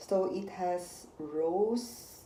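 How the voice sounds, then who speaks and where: A woman with a Filipino accent speaks, with audible room echo. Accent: Filipino accent, noticeable. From Philippines. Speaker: unboxing vlogger. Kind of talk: casual unboxing vlog.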